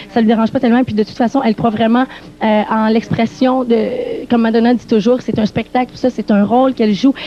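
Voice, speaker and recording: Speaking with a Quebec French accent, a woman uses a high pitch at a very fast pace. Noticeable background noise can be heard. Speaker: TV music show interviewer. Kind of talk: backstage interview with live translation. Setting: backstage dressing rooms.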